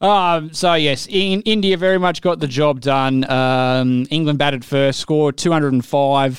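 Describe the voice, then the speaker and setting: With an Australian accent, a man speaks fairly slowly at very even loudness and with ordinary pitch variation. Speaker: cricket podcast host. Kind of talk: casual chat.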